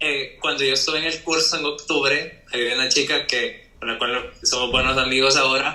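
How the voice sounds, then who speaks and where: Noticeable background noise behind a male voice, moderate in pace and with hardly any pauses. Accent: Salvadoran. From El Salvador. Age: young. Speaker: architect and cabin rental owner. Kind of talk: casual podcast interview.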